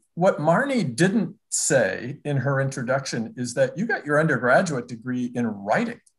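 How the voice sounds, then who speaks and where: Fairly slow and somewhat breathy, a man speaks at a fairly high pitch with lively intonation. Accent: American. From Minnesota (Minneapolis area). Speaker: journalist and interviewer. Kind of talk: interview conversation. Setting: video call.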